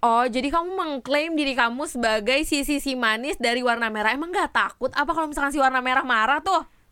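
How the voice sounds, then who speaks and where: Talking at a very fast pace with hardly any pauses, a woman uses a raised, projected voice that is high-pitched, bright and sharp, animated in tone, with ordinary pitch variation. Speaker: podcast host. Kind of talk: casual chat.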